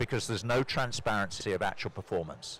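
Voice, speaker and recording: Speaking with a British accent, the man uses a fairly low pitch. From Britain. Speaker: corporate sustainability executive. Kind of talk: panel discussion. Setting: conference stage with audience.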